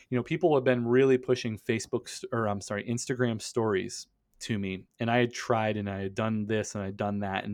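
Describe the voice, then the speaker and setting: A man with an American accent at medium pitch, fairly quick with hardly any pauses, over a quiet background. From western Pennsylvania. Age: 30s. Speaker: e-commerce business owner. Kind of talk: casual interview. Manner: animated.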